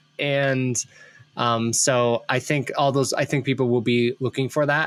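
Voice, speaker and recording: With an Ohio accent, a man talks at a moderate pace. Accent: Midwest Ohio. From US Midwest, Ohio. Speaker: podcast host, brand consultant. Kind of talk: casual interview chat.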